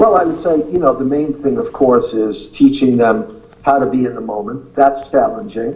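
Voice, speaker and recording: With a New York accent, a man talks in a fairly high pitch with very wide pitch swings and hardly any pauses, over noticeable background noise. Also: moderate pace. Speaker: acting teacher. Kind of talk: interview.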